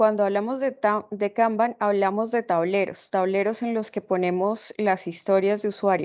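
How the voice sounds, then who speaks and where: Using a normal speaking voice, a woman talks at a fairly slow pace and medium pitch with ordinary pitch variation. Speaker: programming instructor. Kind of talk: lecture.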